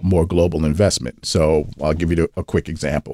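A speaker with a New York accent and fairly even intonation. The sound is dry and close, with no echo. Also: man. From US, New York (Brooklyn). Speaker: venture capital investor. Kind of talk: interview.

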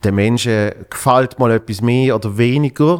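A man speaking with ordinary pitch variation. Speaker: podcast host and comedian. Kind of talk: casual chat.

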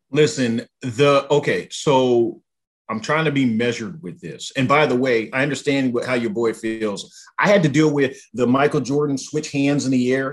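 A man's medium-pitched voice at a moderate pace with ordinary pitch variation. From Southern California. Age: 40s. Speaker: sports podcaster. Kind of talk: casual sports talk chat. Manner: halting, many fillers and repetitions.

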